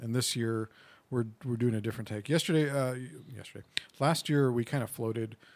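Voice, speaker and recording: A man at a very fast pace, medium pitch, with ordinary pitch variation. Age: 40s. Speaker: gaming convention organizer. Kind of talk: casual chat. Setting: studio. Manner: soft-spoken.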